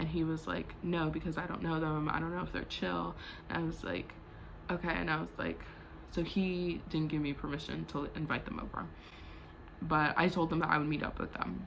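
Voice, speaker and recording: A woman talks at a fairly quick pace. The room echo is audible. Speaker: vlogger. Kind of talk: storytime monologue. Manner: fast; casual, filler-heavy.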